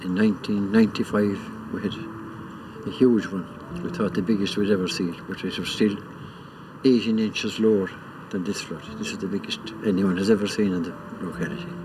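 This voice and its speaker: Long, frequent pauses break up this man's fairly quick speech, which has a fairly low pitch and ordinary pitch variation. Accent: western Irish. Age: 70s. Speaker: farmer. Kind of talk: documentary interview.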